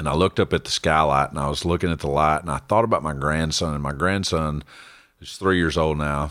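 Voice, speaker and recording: A man with a Texan accent talks fairly quickly in a very deep, low pitch, keeping his intonation fairly even. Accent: Texan Southern US. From Central Texas. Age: 50s. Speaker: church member sharing testimony. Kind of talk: testimony.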